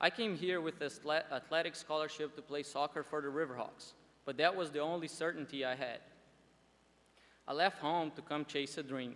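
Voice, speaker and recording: A man with a Portuguese accent, fairly high pitch, fairly even intonation and a fairly quick pace. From Brazil, Porto Alegre. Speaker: student commencement speaker. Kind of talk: commencement speech. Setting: graduation ceremony with audience.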